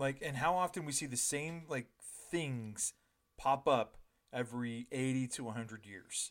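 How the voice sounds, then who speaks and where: A man speaks in a plain, everyday voice at a moderate pace, with a medium pitch and ordinary pitch variation. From Ontario, Canada. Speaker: podcast co-host. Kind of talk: casual chat.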